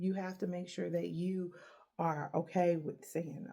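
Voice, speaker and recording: A woman's somewhat breathy voice carries a dark, mellow tone at a fairly low pitch. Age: 30s. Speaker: podcast host. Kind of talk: solo motivational talk.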